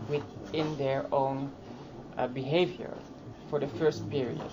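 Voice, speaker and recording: Audible room echo and noticeable background noise surround the speaker. She is a woman talking fairly slowly. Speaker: transgender activist. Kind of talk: conference workshop talk. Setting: conference workshop. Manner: halting, many fillers.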